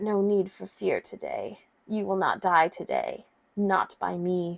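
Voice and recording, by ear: A put-on character voice from a woman at medium pitch, hissing, at a fairly slow pace.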